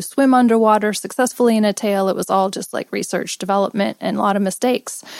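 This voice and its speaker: On a very clean recording with a silent background, a woman with an American accent speaks at medium pitch and with fairly even intonation, in an unremarkable speaking voice. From Los Angeles, US. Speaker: professional mermaid performer. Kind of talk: casual interview chat.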